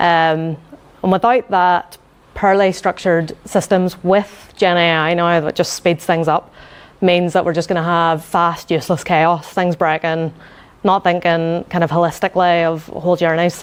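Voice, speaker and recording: A woman with a Northern Irish accent, fairly low-pitched and monotone, flat, at a moderate pace with very even loudness. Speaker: UX design manager. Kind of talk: conference talk. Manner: quiet, needs to project; hesitant, many fillers.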